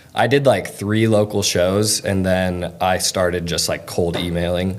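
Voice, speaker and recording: Noticeable background noise sits behind a man with a very deep, low pitch. He talks at a fairly slow pace with fairly even intonation. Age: 20s. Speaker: concert photographer. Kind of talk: casual interview.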